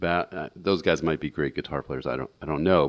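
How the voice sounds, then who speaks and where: Over a quiet background, a man's very deep, low voice shows vocal fry. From US Midwest, St. Louis. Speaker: guitarist. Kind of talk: casual interview.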